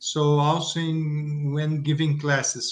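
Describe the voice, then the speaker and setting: A man with a Portuguese accent. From Brazil. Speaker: instructor. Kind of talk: casual chat. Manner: halting.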